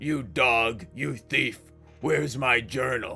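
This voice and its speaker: A man's raspy, rumbling put-on character voice at medium pitch, with lively intonation and a fairly slow pace, over clear music in the background. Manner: accusing, threatening.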